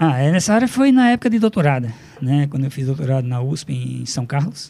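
A dark, mellow, somewhat breathy voice at a fairly quick pace. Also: man. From Brazil, Rio Grande do Norte (Upanema, near Mossoró). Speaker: chemistry professor. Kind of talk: radio interview. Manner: halting, many fillers.

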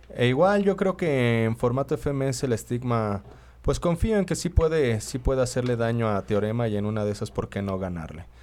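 At a moderate pace, a man with a medium-pitched voice makes very wide pitch swings on a very clean recording with a silent background. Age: 30s. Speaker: freestyle rapper. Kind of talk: casual chat.

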